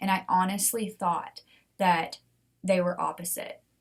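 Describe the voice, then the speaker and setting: This woman's voice is somewhat breathy. Her pitch sits in the medium range. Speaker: podcast host. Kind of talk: solo podcast talk. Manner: animated.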